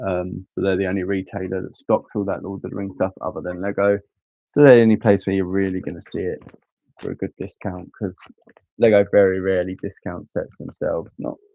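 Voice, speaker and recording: Speaking at a fairly quick pace, a man talks in a fairly low pitch with monotone, flat intonation. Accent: English. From England. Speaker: Lego live streamer. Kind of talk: casual live stream chat. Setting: live stream. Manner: casual, hesitant with frequent ums.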